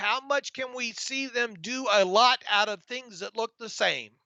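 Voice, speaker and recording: A man speaks in a raised, projected voice with an American accent, his pitch extremely high. The tone is bright and sharp, and the intonation stays fairly even. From US South, northwest Florida. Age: 50s. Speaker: sports podcast co-host. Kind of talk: live stream Q&A chat. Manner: halting, repeated words.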